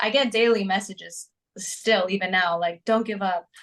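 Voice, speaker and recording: Speaking with a New Jersey accent, a woman uses a medium pitch with ordinary pitch variation. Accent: American (New Jersey). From US, New Jersey. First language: Greek. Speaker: singer-songwriter. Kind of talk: interview.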